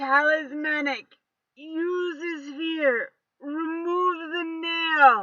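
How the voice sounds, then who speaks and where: Using a put-on character voice, a woman growls at an extremely high pitch and a very slow pace. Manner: growling through clenched teeth, urgent.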